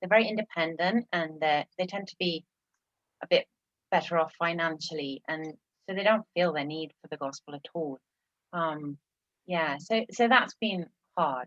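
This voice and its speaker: Big swings in loudness, ordinary pitch variation and a moderate pace, with long, frequent pauses and a dry, close sound with no echo. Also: woman, fairly low pitch for a woman. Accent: English. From England. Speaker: missionary church planter. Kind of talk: interview testimony.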